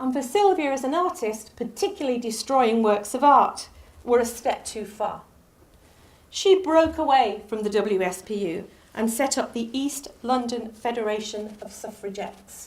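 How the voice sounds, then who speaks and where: The delivery has lively intonation and big swings in loudness at a moderate pace. Audible room echo surrounds the voice. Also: woman, high pitch for a woman. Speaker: lecturer. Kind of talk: lecture.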